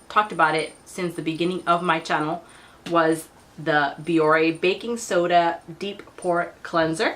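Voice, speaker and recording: Using a plain, everyday voice, a woman speaks at a fairly slow pace with fairly low pitch and fairly even intonation. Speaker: beauty vlogger. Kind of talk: product review vlog.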